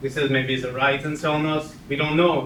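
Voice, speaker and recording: A man's fairly high voice with a French accent, flat and monotone, at a moderate pace, amid noticeable background noise and audible room echo. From France. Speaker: community member sharing experience. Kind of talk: personal testimony to audience. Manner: halting.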